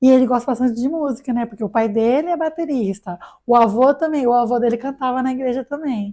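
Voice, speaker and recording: A very fast-paced woman's voice, high in pitch yet dark and mellow in tone. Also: ordinary pitch variation. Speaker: digital influencer. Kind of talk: casual podcast interview.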